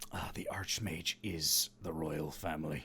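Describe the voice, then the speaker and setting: Putting on a character voice with a very deep, low pitch, a man speaks at a fairly slow pace with fairly even intonation over light background noise. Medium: actual play. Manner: scoffing.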